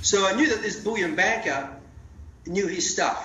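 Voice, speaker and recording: A man speaks with audible room echo. Noticeable background noise sits under his voice. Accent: Australian. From Australia, Melbourne area (rural dairy farm). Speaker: CEO of a precious metals company. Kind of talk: interview. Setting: phone call.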